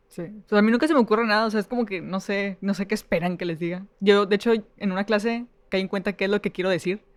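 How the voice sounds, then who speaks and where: This woman talks at a very fast pace, her medium pitch held in fairly even intonation. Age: 20s. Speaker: podcast co-host. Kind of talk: casual chat. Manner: flat, unemotional delivery.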